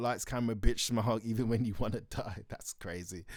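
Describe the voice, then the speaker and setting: Ordinary pitch variation marks this man's voice. He talks at a very fast pace. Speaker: music reaction youtuber. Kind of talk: reaction commentary, reading lyric analysis. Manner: loud.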